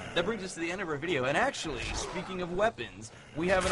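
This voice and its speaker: A man speaks with lively intonation in a fairly high-pitched voice. Noticeable background noise is present. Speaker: video game magazine editor. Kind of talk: casual chat. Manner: fast.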